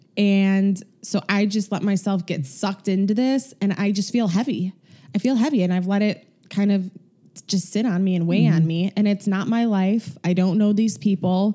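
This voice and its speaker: A woman's dark, mellow voice at medium pitch, somewhat breathy, with ordinary pitch variation and a moderate pace. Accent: Chicago. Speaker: podcast co-host.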